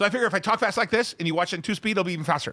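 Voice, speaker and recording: The voice is raised and projected, with an animated tone. It moves at a very fast pace and sounds bright and sharp. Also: man. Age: 50s. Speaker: stock market show host and investor. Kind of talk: casual chat.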